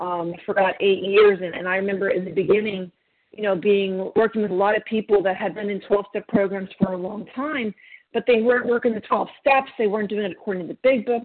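A woman with a plain, everyday voice speaks at a fairly quick pace and a medium pitch. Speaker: twelve-step group member. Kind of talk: testimony.

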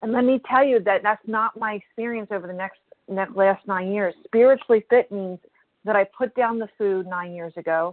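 This woman talks at a moderate pace, her medium pitch showing ordinary variation. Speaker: support group member. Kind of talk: personal sharing testimony. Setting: phone conference call. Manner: matter-of-fact.

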